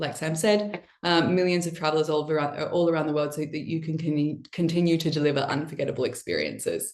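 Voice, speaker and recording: Here a woman speaks in an Australian accent. Her pitch sits fairly low, and her pace is fairly quick. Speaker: marketing and brand lead, presenter. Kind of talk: webinar presentation. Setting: online webinar.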